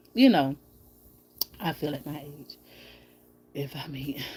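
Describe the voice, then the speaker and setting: A woman speaks with long, frequent pauses. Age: 40s. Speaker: YouTube live streamer. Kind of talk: casual chat. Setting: live stream from bed at home. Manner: fast.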